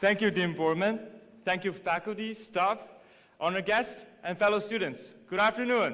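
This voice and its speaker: A man with a Mandarin accent speaks at a high pitch with fairly even intonation. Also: moderate pace. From China, Dalian. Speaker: graduating student speaker. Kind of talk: commencement speech. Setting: stage with audience.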